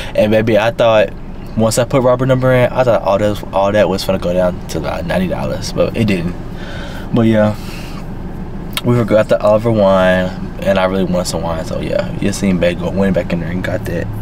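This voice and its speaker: Delivered at a moderate pace with ordinary pitch variation, the speech has a dry sound with no echo over noticeable background noise. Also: man, fairly low pitch for a man. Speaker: vlogger. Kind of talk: casual vlog chat. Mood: relaxed, chatty. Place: car. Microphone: phone near.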